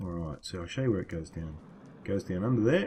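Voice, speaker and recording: A man's somewhat breathy voice with an Australian accent, fairly quick, with lively intonation. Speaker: gaming video creator. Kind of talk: gameplay commentary. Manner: casual.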